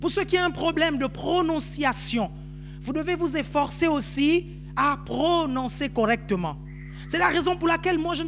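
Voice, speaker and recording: A man with an animated tone at a moderate pace, over noticeable background noise. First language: Nzebi (speaking French). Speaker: pastor. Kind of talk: sermon.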